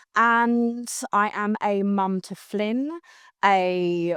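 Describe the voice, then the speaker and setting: In a London accent, the speaker has an animated tone and ordinary pitch variation. The background is quiet. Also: woman. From London, England. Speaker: customer success team leader. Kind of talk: casual interview chat. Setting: live stream recording.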